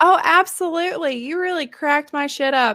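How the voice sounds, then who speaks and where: A woman with an American accent, amid noticeable background noise. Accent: Southern US, thickens around Southerners. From northern Arkansas. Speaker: podcast host. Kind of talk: casual chat.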